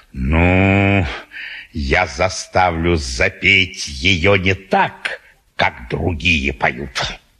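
This put-on character voice has a bright, sharp tone with a slightly husky edge, ordinary pitch variation and a very slow pace. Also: man, low pitch for a man.

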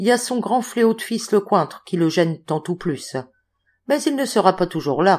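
Against a quiet background, the speaker reads in a natural reading voice with lively intonation.

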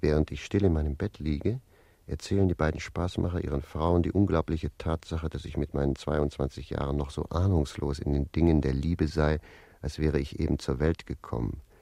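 Putting on a character voice, a man speaks with an extremely low pitch, vocal fry, and a dark, mellow tone, keeping his intonation fairly even at a fairly quick pace.

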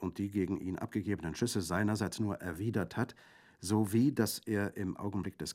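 The intonation stays fairly even as the speaker is reading aloud in a natural voice.

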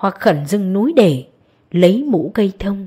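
Lively intonation marks an unforced reading voice from start to finish.

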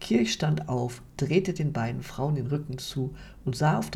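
Reading in an unforced voice

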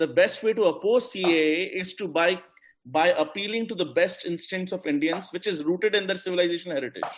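Speaking at a fairly quick pace, the man has a high-pitched voice. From India. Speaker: investment expert and book co-author. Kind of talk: panel discussion.

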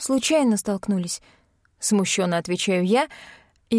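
A reading voice that sounds natural

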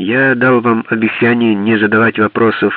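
The reading aloud is plain, and its intonation stays mostly level.

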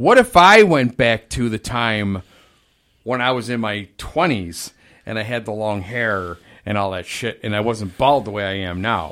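In a normal speaking voice, a man speaks at a fairly slow pace with a fairly low pitch and ordinary pitch variation, on a very clean recording with a silent background. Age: 50s. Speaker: podcast co-host, maintenance man. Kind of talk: casual chat.

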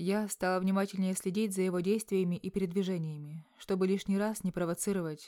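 The voice heard here is a natural reading voice.

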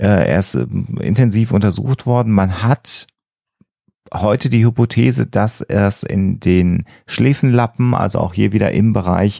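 A man speaks at a fairly low pitch and a fairly slow pace, with a dark, mellow tone, vocal fry and ordinary pitch variation.

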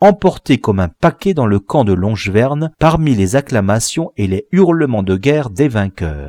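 The delivery is plain reading aloud. Its intonation is lively.

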